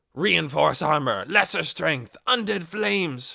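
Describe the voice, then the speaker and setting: A man shouts in a put-on character voice, pitched fairly high and moving at a fairly slow pace. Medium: read story. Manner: excitable, shouting.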